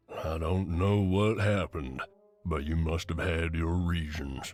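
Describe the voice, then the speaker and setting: Faint music plays behind a man using a put-on character voice, very deep and low, delivered at a fairly slow pace with fairly even intonation. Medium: read story. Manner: talkative, easygoing.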